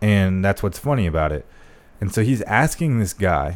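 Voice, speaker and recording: With an American accent and a normal speaking voice, a man talks at a moderate pace in a fairly low pitch with lively intonation. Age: 20s. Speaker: former marine. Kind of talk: casual chat. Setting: home studio.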